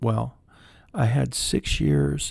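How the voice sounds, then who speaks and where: A soft-spoken man in a calm tone. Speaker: counselor, former military officer. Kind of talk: soft-spoken ASMR talk to camera. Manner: soft-spoken, calm, rambling.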